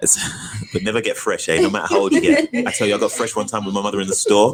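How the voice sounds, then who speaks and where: Speaking in a British accent, a man talks at a very fast pace in an animated tone. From Britain, Nigerian heritage. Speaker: actor. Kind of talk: interview.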